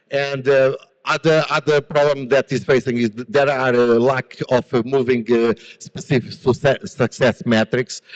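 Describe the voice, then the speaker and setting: A man with a Portuguese accent and fairly even intonation. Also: medium pitch for a man, moderate pace. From Portugal. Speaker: business founder and conference speaker. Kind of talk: conference presentation. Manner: hesitant, many fillers and repetitions.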